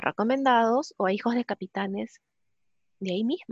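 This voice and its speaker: A woman's high-pitched voice at a moderate pace, dry and close with no echo, against a quiet background. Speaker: psychologist and recruiter. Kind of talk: webinar talk.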